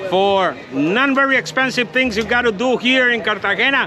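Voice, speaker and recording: Over music in the background, a man speaks in a Spanish accent at a moderate pace. His raised, projected voice is extremely high in pitch. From Colombia. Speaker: tour guide. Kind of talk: travel vlog walking tour. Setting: outdoors. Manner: enthusiastic.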